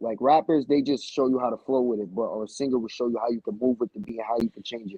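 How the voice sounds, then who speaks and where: A man speaks with a New York accent. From Newburgh, New York. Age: 18. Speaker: rapper. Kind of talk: casual interview.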